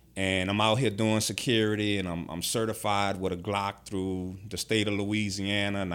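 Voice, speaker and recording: Delivered in a New Orleans accent, the speech holds a moderate pace with hardly any pauses. The intonation stays monotone and flat. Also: man. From New Orleans, Ninth Ward. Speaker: formerly incarcerated man, security worker. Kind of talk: interview, life story.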